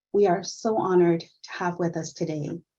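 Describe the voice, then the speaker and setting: Against a quiet background, a woman's somewhat breathy voice has a dark, mellow tone. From Puerto Rico. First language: Spanish. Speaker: nursing director. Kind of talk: event welcome speech. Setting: virtual summit.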